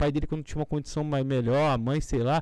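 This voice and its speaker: On a very clean recording with a silent background, a man with a fairly high pitch speaks in a dark, mellow tone. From Rio de Janeiro, Brazil. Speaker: podcast co-host. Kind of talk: casual chat.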